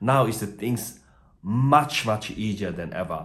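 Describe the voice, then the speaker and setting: Someone with a non-native accent talks at a very slow pace with ordinary pitch variation, and audible room echo is present. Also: man. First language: not English. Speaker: migration agent. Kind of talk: video tutorial. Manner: halting, many fillers.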